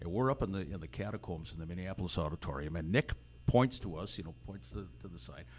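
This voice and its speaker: Using vocal fry and very wide pitch swings, a man talks at a fairly quick pace. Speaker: wrestling ring announcer and broadcaster. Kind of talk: casual interview chat. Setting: studio.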